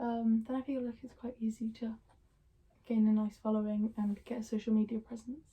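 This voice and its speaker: Quiet and quick, a woman talks at a fairly high pitch. Her intonation is monotone and flat. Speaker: youtuber. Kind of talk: casual Q&A. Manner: hesitant, many ums.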